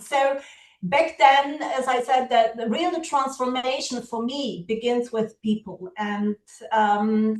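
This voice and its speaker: Speaking at a very slow pace, a woman with a Polish accent uses a high pitch and ordinary pitch variation. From Poland. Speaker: education partnerships officer, keynote speaker. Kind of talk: keynote speech. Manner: halting, many fillers.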